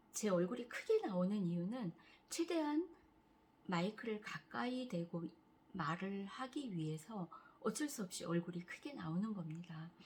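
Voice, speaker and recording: A somewhat breathy woman's voice at medium pitch, lively in intonation and fairly slow in pace. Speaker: cancer patient vlogger. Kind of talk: casual vlog talk.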